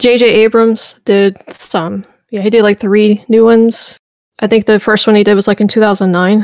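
Speaking with a slight Southern US accent, a woman uses flat, monotone intonation at a fairly high pitch and a moderate pace. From US South, Memphis, Tennessee. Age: 40s. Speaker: history YouTuber. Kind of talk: casual chat.

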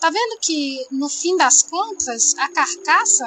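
A woman speaks at a very slow pace. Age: 30s. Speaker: environmental engineer. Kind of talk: casual interview.

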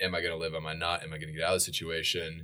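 Bright and sharp in tone, a man talks very fast with an American accent. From US Pacific Northwest (Idaho, Oregon). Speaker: founder of a social enterprise. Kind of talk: interview. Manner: fast-paced, many fillers and restarts.

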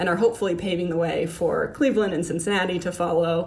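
A woman at a fairly low pitch with an American accent, ordinary pitch variation and a very fast pace, amid audible room echo and noticeable background noise. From Miami, Florida. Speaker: city climate advisor. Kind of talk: interview.

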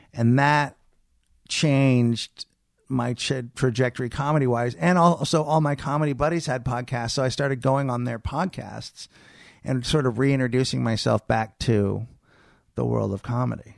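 A man with an ordinary speaking voice and an American accent, medium in pitch with ordinary pitch variation, at a moderate pace over a quiet background. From San Francisco Bay Area, California. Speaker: comedian. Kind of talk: casual chat. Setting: studio.

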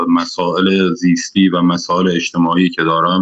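Very deep and low, a man's voice moves at a moderate pace. His intonation stays fairly even. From Iran, Khuzestan (Andimeshk). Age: young. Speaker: poet. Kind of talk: interview. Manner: halting.

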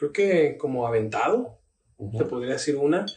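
A man's fairly high pitch moves in very wide swings. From Tabasco, Mexico. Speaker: pastor. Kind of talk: casual chat.

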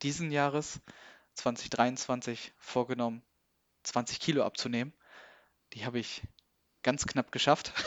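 Speaking fairly slowly, a man keeps his medium-pitched voice at a fairly even intonation. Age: 30s. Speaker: logistics worker, coaching client. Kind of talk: interview about personal weight-loss story. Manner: hesitant, many fillers.

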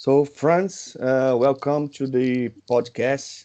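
Against a quiet background, a man with a Portuguese accent speaks in a dark, mellow tone with fairly even intonation. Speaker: podcast host. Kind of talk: interview.

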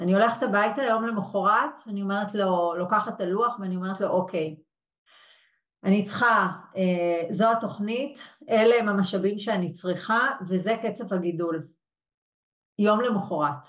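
A woman at a medium pitch and fairly slow pace, with ordinary pitch variation and long, frequent pauses. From Israel, Yehud. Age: 40s. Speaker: HR executive and coach. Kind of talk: webinar interview. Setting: live webinar.

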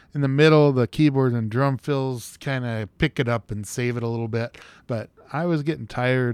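A man with a plain, everyday voice at a medium pitch talks at a fairly quick pace. His intonation stays fairly even, and the recording is very clean with a silent background. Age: 40s. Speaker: podcast host, music reviewer. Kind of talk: casual monologue review.

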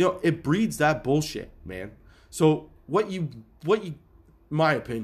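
An animated man with vocal fry and a fairly high pitch, very wide pitch swings, a fairly slow pace and long, frequent pauses, on a very clean recording with a silent background. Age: 30s. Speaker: podcast host. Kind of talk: casual monologue.

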